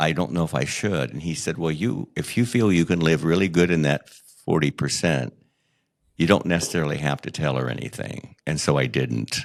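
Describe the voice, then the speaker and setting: A man's very deep, low voice with vocal fry and lively intonation at a moderate pace. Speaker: memoir author and podcast host, guest telling life story. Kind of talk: interview testimony. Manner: halting, with fillers and repetitions.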